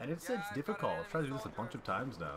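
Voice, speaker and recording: With noticeable noise in the background, a man talks while his pitch swings very widely. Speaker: gaming commentator. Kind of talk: gameplay commentary.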